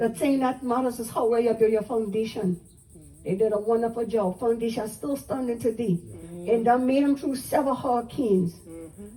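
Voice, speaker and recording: A woman's fairly high voice with a Southern US accent at a fairly quick pace. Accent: Gullah Geechee, Southern US. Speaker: Gullah culture presenter and storyteller. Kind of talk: live history talk to visitors. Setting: outdoors. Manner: engaging, conversational, asks audience questions.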